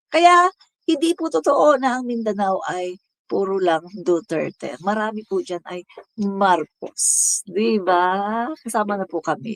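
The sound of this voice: In a Visayan accent, a woman of medium pitch speaks fairly slowly with very wide pitch swings, the sound dry and close with no echo.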